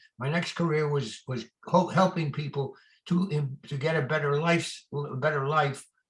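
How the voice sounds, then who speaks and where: A somewhat breathy man with an American accent, fairly high pitch, fairly even intonation and a moderate pace. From New York. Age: 90s. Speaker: retired real estate lawyer and adviser. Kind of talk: interview. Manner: halting, repeats words.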